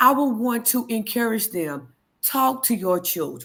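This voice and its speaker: A woman speaks in a passionate, animated tone at a fairly high pitch with ordinary pitch variation, recorded very cleanly against a silent background. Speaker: HIV advocate and storyteller. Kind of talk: panel interview, personal testimony. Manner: loud, outspoken.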